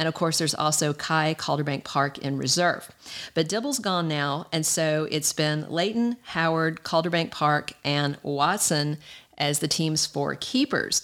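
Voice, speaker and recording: In a very clean recording with a silent background, a woman with a Southern US accent speaks at a fairly slow pace in a very deep, low pitch with ordinary pitch variation. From US South. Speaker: podcast host. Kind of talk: solo news commentary. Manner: animated.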